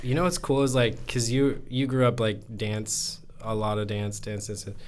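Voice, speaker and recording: A man talks with a West Coast accent. His pitch is medium. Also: ordinary pitch variation, moderate pace. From Oregon, US. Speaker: podcast co-host. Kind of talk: casual chat.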